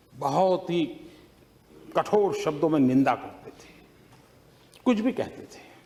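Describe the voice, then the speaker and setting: Dark and mellow in tone, a man's high-pitched voice shows big swings in loudness. He leaves long, frequent pauses. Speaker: politician giving a parliamentary speech. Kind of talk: parliamentary speech with anecdote.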